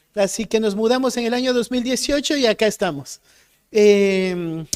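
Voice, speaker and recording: Fairly slow delivery from a man, with ordinary pitch variation. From Ecuador. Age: 30s. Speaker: pastor. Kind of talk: sermon.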